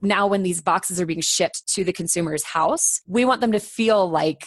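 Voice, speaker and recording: A woman with an American accent uses an ordinary speaking voice at a fairly low pitch, with ordinary pitch variation. She talks at a moderate pace, and the sound is dry and close with no echo. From Colorado. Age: 30s. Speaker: business executive. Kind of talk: interview.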